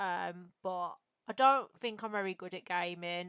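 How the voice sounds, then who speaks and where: With an English Midlands accent, a woman speaks at a medium pitch in a dry, close sound with no echo. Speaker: streamer and podcast host. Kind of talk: casual interview chat. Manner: casual, filler-heavy.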